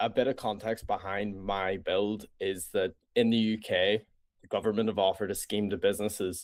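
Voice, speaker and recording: In a very clean recording with a silent background, a man with a Northern Irish accent talks at a moderate pace in a fairly low pitch, his intonation monotone and flat. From Northern Ireland. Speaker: startup founder. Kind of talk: interview pitch.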